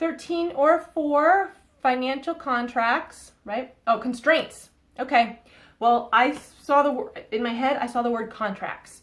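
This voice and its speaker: Her pitch is high as a woman speaks with an American accent and ordinary pitch variation. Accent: Boston accent, slips out at times. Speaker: psychic tarot reader. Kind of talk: oracle card reading to camera. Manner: casual, hesitant with fillers.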